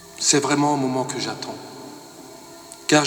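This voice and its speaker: Music plays in the background and the room echoes audibly as a man talks fairly slowly at a fairly high pitch. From Alsace, France (Rosheim). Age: 50s. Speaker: winegrower giving a faith testimony. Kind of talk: testimony. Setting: parish evening event.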